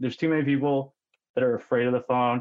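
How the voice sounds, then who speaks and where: A man is speaking. He talks with a western Canadian accent. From Canada, British Columbia (Okanagan). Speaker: mortgage broker. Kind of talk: podcast interview.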